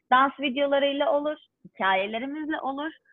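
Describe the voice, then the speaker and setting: A woman at a moderate pace. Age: 30s. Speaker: dance instructor. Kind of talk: interview.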